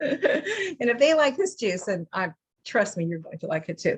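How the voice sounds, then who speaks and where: A somewhat breathy woman with an American accent is heard in a dry, close recording with no echo. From US West Coast, San Diego. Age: 60s. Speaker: author and juicing teacher. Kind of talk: lecture. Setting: video call. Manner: casual, conversational with fillers.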